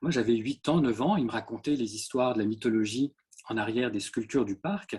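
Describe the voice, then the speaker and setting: A man's somewhat breathy voice at medium pitch and a moderate pace. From France, Orléans. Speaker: ceramic artist. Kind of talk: artist talk with slides. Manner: hesitant, many fillers.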